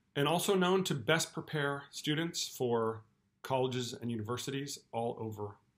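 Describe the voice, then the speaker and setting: With an American accent, a man talks at a moderate pace using lively intonation. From California. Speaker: school principal. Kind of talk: welcome address to parents. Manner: formal. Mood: warm, welcoming. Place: office. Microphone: webcam.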